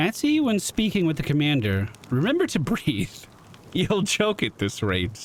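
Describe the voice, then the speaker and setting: A man puts on a character voice pitched fairly high. Clear background noise runs beneath him. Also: moderate pace. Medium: game stream.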